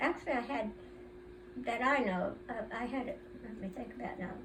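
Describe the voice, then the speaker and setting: A woman's medium-pitched voice at a moderate pace with very wide pitch swings, plus audible room echo and noticeable background noise. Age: 80s+. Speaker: centenarian family elder interviewed. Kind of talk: casual family interview. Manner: halting.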